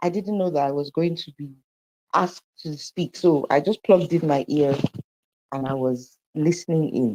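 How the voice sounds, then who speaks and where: Quiet but with big swings in loudness, a woman with a very deep, low pitch and a dark, mellow tone speaks at a moderate pace with ordinary pitch variation, in a dry, close sound with no echo. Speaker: campaign team member. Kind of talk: brief remarks in live audio room. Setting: stepped out of a meeting, earphones. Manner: hushed.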